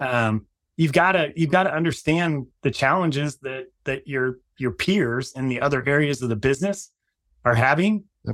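An unremarkable speaking voice, this man's is fairly high-pitched, with ordinary pitch variation and a moderate pace. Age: 50s. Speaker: marketing executive and company founder. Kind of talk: interview.

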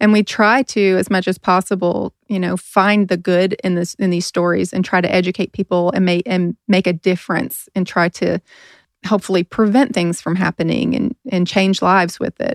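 This woman has an ordinary speaking voice, medium in pitch with ordinary pitch variation, at a moderate pace. The sound is dry and close, with no echo. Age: 40s. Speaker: podcast host and nurse. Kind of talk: casual chat.

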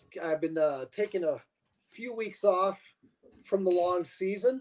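A man with an American accent speaks at a high pitch in a dry, close sound with no echo. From western New York / Pennsylvania border. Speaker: fan club chapter president. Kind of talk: casual chat.

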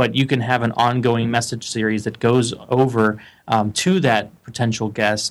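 An ordinary speaking voice from a man of medium pitch, at a moderate pace and with fairly even intonation. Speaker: lead generation expert. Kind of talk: interview.

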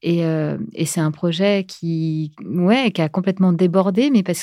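In a very clean recording with a silent background, a woman with a dark, mellow tone speaks at a very slow pace in a fairly low pitch with ordinary pitch variation. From France. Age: 40s. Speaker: podcaster, breast cancer survivor. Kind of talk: interview. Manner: hesitant, many fillers.

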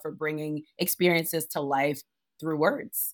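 Speaking at a moderate pace with an American accent, a woman uses a very deep, low pitch and fairly even intonation. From Providence, Rhode Island, US; Liberian family. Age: 30s. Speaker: on-air host and entertainment reporter. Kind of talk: casual interview.

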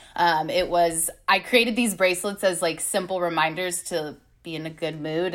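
A woman with an American accent speaks at a moderate pace in a fairly low pitch, on a very clean recording with a silent background. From California (Long Beach). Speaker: life and success coach. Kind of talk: casual interview chat. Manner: loud.

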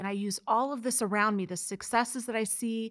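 A woman with an American accent speaks in a normal speaking voice. Her pitch is fairly high and her pace moderate. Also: very clean recording, silent background. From Missouri, US Midwest. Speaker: nonprofit founder. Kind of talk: interview.

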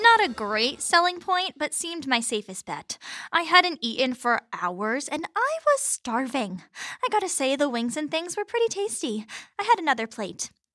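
This woman uses a raised, projected voice with a high pitch, very wide pitch swings, and a bright, sharp tone at a moderate pace. Her delivery is animated and dramatic, and the sound is dry and close with no echo. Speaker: comedic fiction lead narrator. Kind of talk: scripted comedic audio drama narration. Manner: animated, sarcastic, dramatic.

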